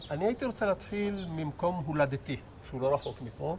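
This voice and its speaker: Against noticeable background noise, a man speaks at a fairly quick pace with lively intonation. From Israel, Jerusalem. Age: 70s. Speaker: interviewee recounting childhood. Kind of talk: oral history interview. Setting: outdoors.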